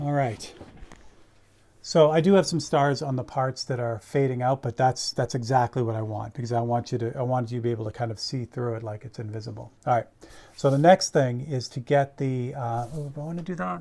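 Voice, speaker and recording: A man's voice of medium pitch with a dark, mellow tone, at a fairly quick pace with ordinary pitch variation, on a very clean recording with a silent background. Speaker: airbrush artist streaming live painting. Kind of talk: live painting tutorial. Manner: casual, conversational.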